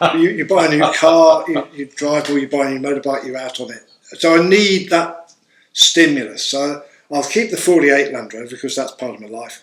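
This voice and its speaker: This man has an English accent. His pitch is fairly high, with ordinary variation. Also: fairly quick pace, big swings in loudness. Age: 60s. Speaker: explorer and photographer. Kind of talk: casual chat.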